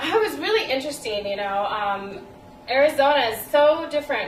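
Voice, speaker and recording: A woman at a fairly quick pace with lively intonation, audible room echo, and noticeable background noise. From El Salvador, moved to US at eight. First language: Spanish. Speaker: playwright. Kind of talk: interview. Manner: hesitant, many fillers.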